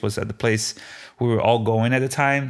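With a slight Brazilian accent, the voice stays monotone and flat in a very clean recording over a silent background. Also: man. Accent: light Brazilian Portuguese accent in English. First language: Portuguese. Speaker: food truck owner. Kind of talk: interview storytelling. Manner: halting, with frequent repetitions.

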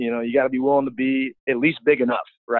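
At a fairly quick pace, a man with a fairly high pitch speaks in an ordinary speaking voice. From US Midwest, St. Louis. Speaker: college football offensive line coach. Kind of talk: casual chat.

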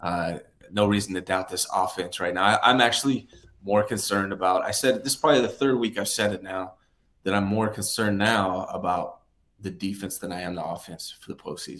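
With an ordinary speaking voice, a man talks at a fairly low pitch and fairly quick pace, using ordinary pitch variation. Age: 40s. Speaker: sports podcast co-host. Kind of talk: casual chat. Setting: video call.

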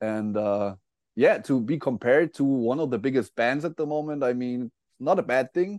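A man speaks at a medium pitch and a moderate pace with ordinary pitch variation, his voice dry and close with no echo against a quiet background. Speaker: metal guitarist. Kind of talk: casual interview. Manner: hesitant, fillers.

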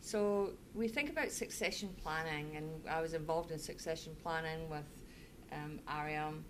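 A woman speaks in a Scottish accent with a very deep, low pitch. Her pace is moderate and her intonation fairly even. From Scotland (Fife). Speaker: managing director. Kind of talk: casual interview.

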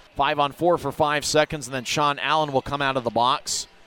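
Energetic and animated, a man with a fairly high voice talks at a moderate pace in a dry, close sound with no echo, though noticeable background noise is present. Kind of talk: hockey play-by-play. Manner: energetic and animated, shifting to a relaxed, conversational recap between goals.

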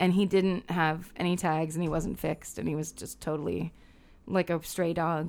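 A woman with an American accent speaks at a moderate pace in a fairly low pitch, with vocal fry and fairly even intonation. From Northern California. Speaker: comedian and musician. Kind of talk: casual comedic chat.

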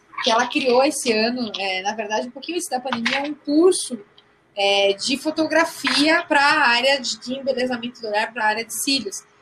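Noticeable background noise sits under this recording. A woman speaks with a high pitch and lively intonation. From Rio Grande do Sul, Brazil. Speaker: podcast co-host. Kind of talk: casual chat.

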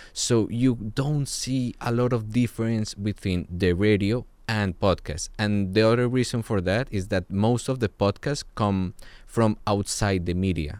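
A man with a Spanish accent and fairly low pitch talks at a fairly slow pace on a very clean recording with a silent background. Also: ordinary pitch variation. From Colombia. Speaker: podcast producer. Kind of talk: interview.

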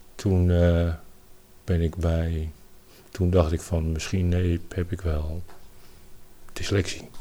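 A man speaks at a very slow pace with long, frequent pauses. His very deep, low voice has a dark, mellow tone and monotone, flat intonation. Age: 50s. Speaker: landscaping worker with dyslexia. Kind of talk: interview, personal story. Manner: halting, many hesitations.

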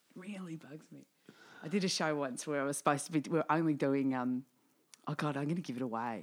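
Delivered at a very fast pace with an Australian accent, the speech shows ordinary pitch variation. Loudness swings widely throughout. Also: woman, very deep, low pitch for a woman. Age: 40s. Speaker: podcast host and singer-comedian. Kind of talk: casual chat.

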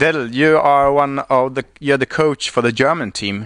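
The voice carries a Swedish accent with ordinary pitch variation at a moderate pace. The sound is dry and close, with no echo. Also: man. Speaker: kite racing podcast host. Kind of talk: interview. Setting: live stream at a surf club. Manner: halting, many fillers.

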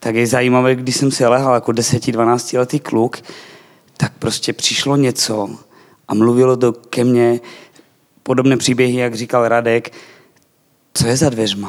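A man in a Slovak accent, fairly slow, with monotone, flat intonation and long, frequent pauses. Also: medium pitch for a man. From eastern Slovakia. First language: Slovak (speaking Czech). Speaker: church member, Bible school graduate. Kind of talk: testimony.

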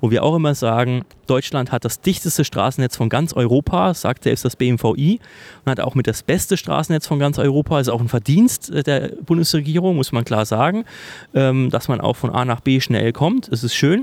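This man has an unremarkable speaking voice at medium pitch, with ordinary pitch variation, very even loudness, a moderate pace and a dry, close sound with no echo. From Thuringia, Germany. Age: 30s. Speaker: political staffer. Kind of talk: casual interview. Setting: office in parliament building.

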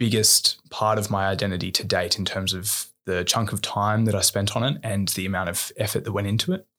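A man with an Australian accent speaks at a fairly quick pace in a fairly low pitch, his intonation monotone and flat. The recording is very clean, with a silent background. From Australia, New South Wales. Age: 20s. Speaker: engineer and social entrepreneur, army reservist. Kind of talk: candid podcast interview. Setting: studio.

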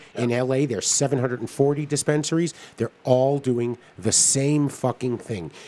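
A man talks in an ordinary speaking voice at a medium pitch. His pace is fairly slow, with ordinary pitch variation. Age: 50s. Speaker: cannabis podcast co-host. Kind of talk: casual chat.

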